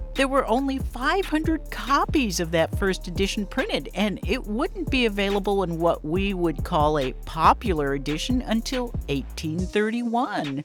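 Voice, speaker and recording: A woman talks with hardly any pauses. Music plays in the background. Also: moderate pace. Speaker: author and paranormal expert. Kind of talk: history narration to camera.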